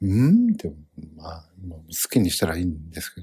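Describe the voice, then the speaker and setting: A man with a Kansai accent in a very clean recording with a silent background. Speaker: comedian podcast host. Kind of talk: solo casual monologue. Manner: rambling with many fillers.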